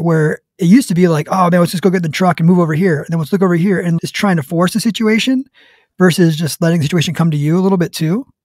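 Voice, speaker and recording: Talking at a very fast pace, a man has a high pitch. The sound is dry with no echo over a quiet background. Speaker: hunting podcast host; podcast guest. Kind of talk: casual chat. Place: home room. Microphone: studio mic.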